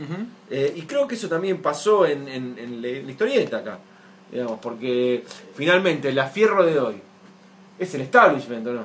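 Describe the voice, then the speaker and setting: At a moderate pace, a man with a fairly high voice swings very widely in pitch and shifts greatly in loudness. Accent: Rioplatense. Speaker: podcast host. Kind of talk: casual chat.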